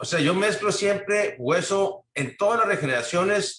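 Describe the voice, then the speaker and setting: A man at a fairly slow pace. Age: 60s. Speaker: implant dentist. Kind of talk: interview. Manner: halting.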